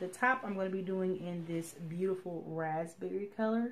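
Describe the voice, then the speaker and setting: A woman whispers quietly at a moderate pace. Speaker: sewing vlogger. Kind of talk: casual tutorial-style vlog. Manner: whispering, quiet.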